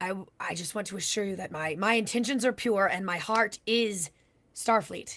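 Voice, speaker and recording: In a put-on character voice, a woman speaks at a moderate pace with a raspy, medium-pitched sound. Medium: actual play. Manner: halting, earnest.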